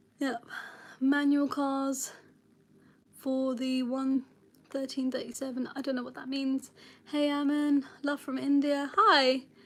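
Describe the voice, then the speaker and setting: The woman's voice is high-pitched and monotone, with flat intonation. She leaves long, frequent pauses. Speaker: driving instructor. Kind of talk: live stream Q&A. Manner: fast.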